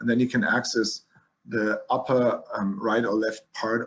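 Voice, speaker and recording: This speech moves at a fairly slow pace. It is delivered with a German accent. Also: man. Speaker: physician lecturing on leukemia. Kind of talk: lecture. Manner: halting, with many fillers and restarts.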